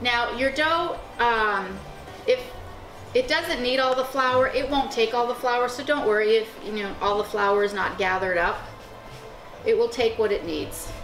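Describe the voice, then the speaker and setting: Music plays in the background as a woman speaks at a moderate pace. Her pitch is high, with ordinary variation. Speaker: cooking channel host. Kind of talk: cooking show instruction to camera.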